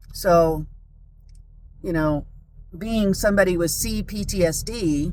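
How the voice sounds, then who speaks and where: Audible room echo surrounds a woman with an American accent who speaks at a fairly slow pace, medium in pitch with ordinary pitch variation. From San Diego, California. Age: 50s. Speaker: vlogger. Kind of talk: personal monologue. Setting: in a car.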